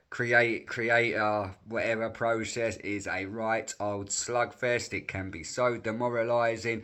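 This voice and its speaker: With an English accent, a man speaks at medium pitch in a bright, sharp tone, his intonation fairly even. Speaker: sports reaction youtuber. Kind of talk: casual vlog monologue.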